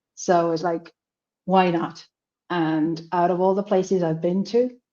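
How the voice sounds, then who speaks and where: A woman with a Finnish accent, fairly low in pitch, dark and mellow in tone, fairly even in intonation, at a fairly slow pace against a quiet background. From Finland. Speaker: language student. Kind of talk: interview. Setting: livestream.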